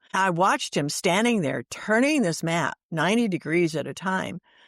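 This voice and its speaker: A woman's fairly low voice with vocal fry and lively intonation, at a moderate pace, in a dry, close sound with no echo. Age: 80s+. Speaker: author and widow of assisted-dying patient. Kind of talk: interview.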